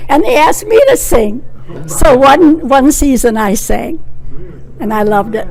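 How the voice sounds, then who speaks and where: With an American accent, a woman speaks high and fairly slowly, her pitch swinging very widely, with long, frequent pauses over noticeable background noise. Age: 90s. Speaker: local resident. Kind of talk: oral history interview.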